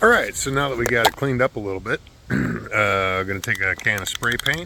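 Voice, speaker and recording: Over noticeable background noise, a man speaks at a moderate pace in a fairly low pitch with lively intonation. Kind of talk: DIY how-to talk to camera.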